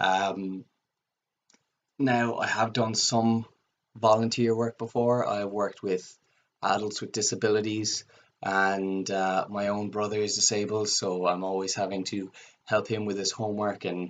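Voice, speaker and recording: Pausing long and often, a man with a Cork accent speaks at a fairly slow pace in a fairly low, monotone voice with flat intonation. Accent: Cork Irish. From Ireland, Cork. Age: 20s. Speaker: student. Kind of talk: video application self-introduction. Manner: hesitant with frequent fillers.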